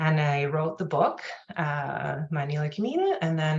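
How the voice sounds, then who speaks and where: A woman speaks at a fairly slow pace with a non-native accent. Her pitch is very deep and low. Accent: non-native accent, noticeable when nervous. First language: not English. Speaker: personal finance journalist and author. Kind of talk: interview. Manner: hesitant, many fillers.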